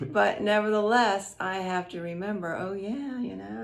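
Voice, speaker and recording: A woman speaks at a moderate pace, her voice met by audible room echo and noticeable background noise. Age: 70s. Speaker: retired grandmother being interviewed. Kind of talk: casual interview. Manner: hesitant with repeated words.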